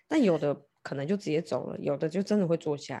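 A woman talks at a very fast pace in a dark, mellow tone, somewhat breathy, with ordinary pitch variation. The recording is very clean, with a silent background. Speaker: tarot reader turned love board game coach. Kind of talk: casual chat.

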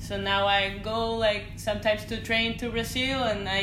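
A woman speaks in a Spanish accent at a medium pitch and moderate pace. Her intonation is fairly even, and background noise is noticeable. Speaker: professional surfer. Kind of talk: casual interview. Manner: laughs often.

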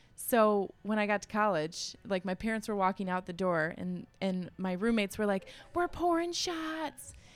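Speaking in an American accent, the voice moves with very wide pitch swings. The pace is moderate, with hardly any pauses. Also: woman, medium pitch for a woman. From Grosse Pointe, Michigan (Detroit area). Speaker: yoga studio founder. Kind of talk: casual interview chat.

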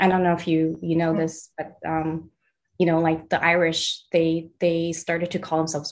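A woman speaks in a Californian accent at a fairly low pitch and a moderate pace. Her intonation is monotone and flat. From US West Coast (Los Angeles, San Pedro). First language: Mandarin. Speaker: artist and art director. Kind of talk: casual interview.

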